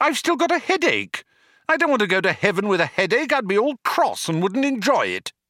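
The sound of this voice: Using a put-on character voice, a man speaks fairly quickly in a high pitch with big pitch swings and a bright, sharp tone, the recording very clean with a silent background and a dry, close sound with no echo.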